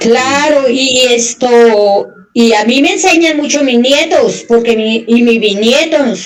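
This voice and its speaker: A woman with a high voice and ordinary pitch variation talks at a very slow pace and very even loudness amid noticeable background noise. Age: 60s. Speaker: conversation host, grandmother. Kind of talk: casual chat.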